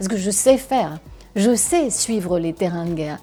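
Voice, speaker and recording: Music plays in the background as a woman speaks at a fairly slow pace with lively intonation. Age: 60s. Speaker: war reporter. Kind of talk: interview answer.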